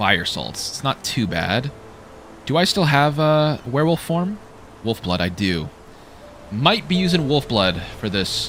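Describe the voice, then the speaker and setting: A man with a fairly high pitch swings very widely in pitch, speaking at a fairly slow pace with long, frequent pauses. Music plays in the background. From Canada. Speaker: gaming streamer. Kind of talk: live gameplay commentary. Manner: animated; halting.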